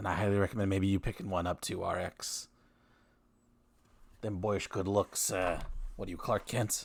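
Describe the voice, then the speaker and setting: Doing a raspy put-on character voice, a man talks at a moderate pace and a fairly low pitch, with monotone, flat intonation and long, frequent pauses. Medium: actual play. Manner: dry, teasing.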